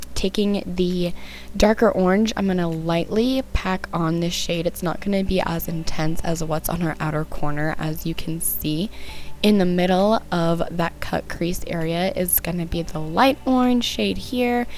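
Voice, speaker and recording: Over noticeable background noise, a woman speaks fairly slowly in a fairly low voice with ordinary pitch variation. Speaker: makeup tutorial creator. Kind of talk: makeup tutorial voice-over.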